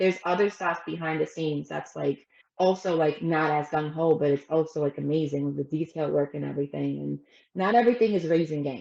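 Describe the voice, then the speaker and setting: In an American accent, a woman with a very deep, low voice talks at a fairly quick pace in an animated tone with ordinary pitch variation. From Brooklyn, New York. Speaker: structural ironworker. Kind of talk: casual chat.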